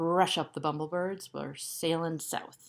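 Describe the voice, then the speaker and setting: A bellowing put-on character voice at a middle pitch. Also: fairly slow pace. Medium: read story. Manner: fierce, roaring.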